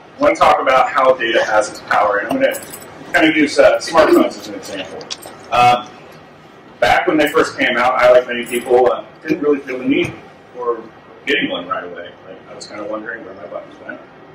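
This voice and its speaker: The speech moves at a fairly quick pace with big swings in loudness. Noticeable background noise runs underneath. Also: man. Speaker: conference presenter. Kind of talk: presentation talk. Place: meeting room. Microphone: camera far.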